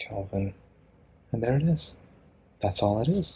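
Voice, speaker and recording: A man speaks quietly at a moderate pace. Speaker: student tutor explaining chemistry. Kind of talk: tutorial. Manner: casual, hesitant.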